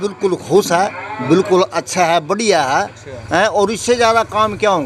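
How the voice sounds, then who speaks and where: A high-pitched man's voice over music in the background. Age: 60s. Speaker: villager interviewed. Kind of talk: street interview.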